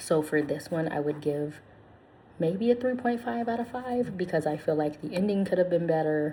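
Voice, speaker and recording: A soft-spoken woman talks with lively intonation. Her tone is dark and mellow, and somewhat breathy. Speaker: ASMR channel host and book reviewer. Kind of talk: casual talk to camera, book review.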